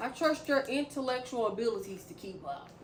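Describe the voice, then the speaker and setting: Over noticeable background noise, a woman speaks loudly at a high pitch with very wide pitch swings. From US South, Memphis, Tennessee. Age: 30s. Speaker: vlogger. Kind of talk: casual vlog talk to camera. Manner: fast talker; loud, laughs a lot.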